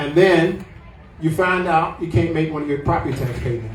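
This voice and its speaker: With music in the background and audible room echo, a man in a Southern US accent talks at a fairly quick pace and a fairly high pitch. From US South, Atlanta, Georgia. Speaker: property tax activist, podcast co-host. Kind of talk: public talk to a meeting. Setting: pub meeting room with audience.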